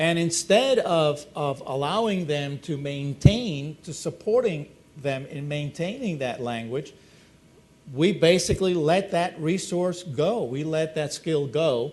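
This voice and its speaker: Speaking in a Spanish accent, a man uses a fairly high pitch with ordinary pitch variation. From Spanish-speaking country, moved to US at nine. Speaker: former school superintendent and educator. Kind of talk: panel discussion. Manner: hesitant, many repetitions and fillers.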